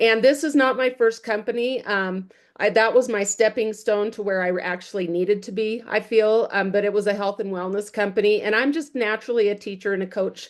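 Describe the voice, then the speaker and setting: Speech comes at a fairly quick pace with hardly any pauses and fairly even intonation. The background is quiet. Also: woman, fairly high pitch for a woman. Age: 60s. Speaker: network marketing leader, former school teacher. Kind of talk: casual chat. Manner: halting.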